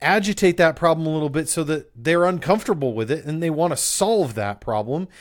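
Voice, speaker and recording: Speaking in an ordinary speaking voice, a man with an American accent moves at a fairly quick pace with lively intonation and a fairly high pitch. The recording is very clean, with a silent background. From upstate New York. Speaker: podcast host, business coach. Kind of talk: solo podcast monologue on business marketing. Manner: casual, conversational with filler words.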